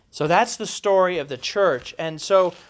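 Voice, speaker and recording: This man has an American accent. His voice sits at a high pitch. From US Midwest, Columbus, Ohio. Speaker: pastor. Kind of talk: lecture. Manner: halting, many fillers and repeats.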